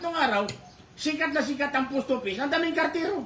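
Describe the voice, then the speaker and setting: A man rattles along very quickly and animatedly, with noticeable noise in the background. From Philippines, Puerto Princesa, Palawan. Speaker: radio talk show co-host. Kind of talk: casual talk show discussion.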